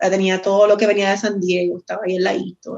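A woman speaks with a Puerto Rican accent. Her pace is fairly quick. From Puerto Rico, Guayama area. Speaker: former bartender, craft beer enthusiast. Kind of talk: casual chat. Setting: video call from phone. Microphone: phone instead of computer.

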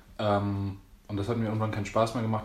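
There is audible room echo as a man speaks at a fairly low pitch. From Berlin, Germany. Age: 20s. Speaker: dancer and choreographer. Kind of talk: casual chat.

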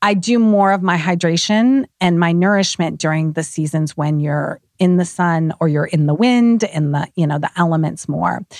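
With an unremarkable speaking voice, a woman with a fairly low pitch talks at a moderate pace with hardly any pauses and very even loudness, in a dry, close sound with no echo. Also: ordinary pitch variation. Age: 50s. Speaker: skincare entrepreneur. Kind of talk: casual chat.

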